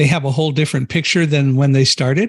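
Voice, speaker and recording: Here is an ordinary speaking voice from a man with an American accent. His pitch is fairly high. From United States. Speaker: podcast host. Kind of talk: podcast interview.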